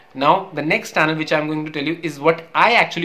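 Against light background noise, a man with an Indian accent speaks at a very fast pace. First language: Hindi. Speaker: YouTuber; medical student. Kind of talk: casual tutorial. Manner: halting, filler words, repeats 'okay'. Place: home room. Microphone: earbuds.

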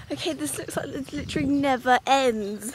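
Through noticeable background noise but with no echo in the dry sound, a woman speaks at a moderate pace in a high pitch with lively intonation. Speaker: vlogger. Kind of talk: casual vlog chat. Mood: amused, self-mocking. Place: open country. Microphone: phone near.

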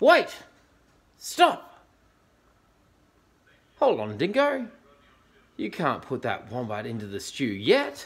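A man's put-on character voice at medium pitch, fairly bright in tone, with very wide pitch swings, a slow pace and long, frequent pauses.

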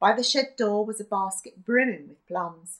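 A natural reading voice with ordinary pitch variation against a quiet background.

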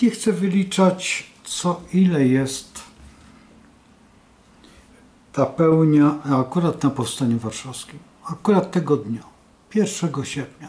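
A man speaks at a very slow pace in a dark, mellow tone, with ordinary pitch variation. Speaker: astrology show host. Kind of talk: casual talk explaining a chart. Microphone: webcam.

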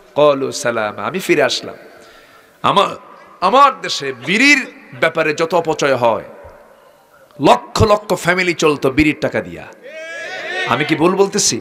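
A man speaks loudly in a high voice, animated in tone, with lively intonation. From Bangladesh. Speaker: Islamic preacher. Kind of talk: sermon. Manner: animated, calls for loud responses. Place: stage. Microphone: podium.

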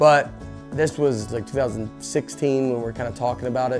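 A man's medium-pitched voice with ordinary pitch variation, music in the background. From Nashville, Tennessee. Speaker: stand-up comedian. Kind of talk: interview answer.

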